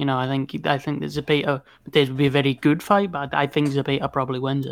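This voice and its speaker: Very fast, monotone delivery in a Scottish accent, with a flat intonation, a dry, close sound with no echo, and a very clean recording over a silent background. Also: man. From Scotland. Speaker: boxing podcast guest. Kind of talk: casual chat.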